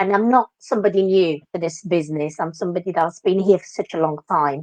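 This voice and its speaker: With a Moroccan accent, this voice moves at a moderate pace in a dry, close sound with no echo. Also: woman. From Morocco. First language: Moroccan Arabic. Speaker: dance teacher. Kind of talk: interview. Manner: animated.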